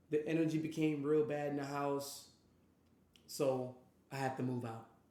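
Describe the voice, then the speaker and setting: In a room with audible echo, a man with an American accent speaks at a moderate pace in a fairly high pitch, his tone dark and mellow and his intonation monotone and flat. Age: 20s. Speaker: streamer and podcast host. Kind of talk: personal life story monologue. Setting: live stream. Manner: passionate.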